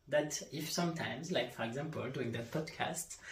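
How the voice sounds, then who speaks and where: A man with a French accent and lively intonation, amid audible room echo and noticeable background noise. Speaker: life coach and yoga instructor. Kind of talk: solo podcast monologue. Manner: halting.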